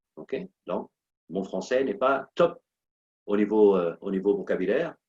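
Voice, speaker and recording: In a dry, close sound with no echo, a man with a non-native accent speaks at a fairly slow pace. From Portuguese-speaking country. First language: Portuguese (speaking French). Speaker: motivational coach and speaker. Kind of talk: motivational talk. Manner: animated, repetitive emphasis.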